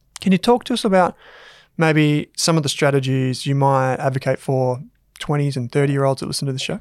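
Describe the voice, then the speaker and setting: A man with an Australian accent speaks fairly quickly at a fairly high pitch, the sound dry and close with no echo in a very clean recording with a silent background. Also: ordinary pitch variation. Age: 30s. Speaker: business podcast host. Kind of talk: casual interview chat; scripted intro. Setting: studio with camera.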